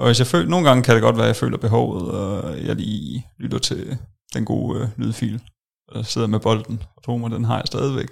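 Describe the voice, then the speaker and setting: Vocal fry with lively intonation. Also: man, fairly low pitch for a man, moderate pace. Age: 20s. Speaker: software developer, former weight-loss client. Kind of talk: interview testimony. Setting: studio.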